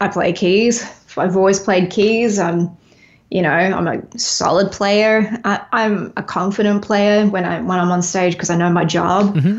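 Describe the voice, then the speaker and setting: Speaking at a moderate pace, a woman with an Australian accent keeps a medium pitch and fairly even intonation. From Australia, Melbourne. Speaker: singer-songwriter and touring musician. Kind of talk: casual interview chat.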